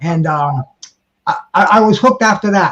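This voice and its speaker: A man speaks with lively intonation. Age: 60s. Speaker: panelist on boxing talk show. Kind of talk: casual group chat. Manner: halting, many repeated words.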